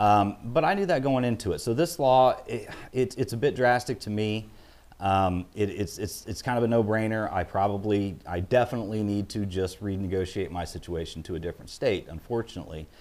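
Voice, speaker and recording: Fairly low-pitched man with a Midwestern US accent, fairly quick pace, ordinary pitch variation. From Illinois. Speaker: auctioneer and gun dealer. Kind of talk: interview.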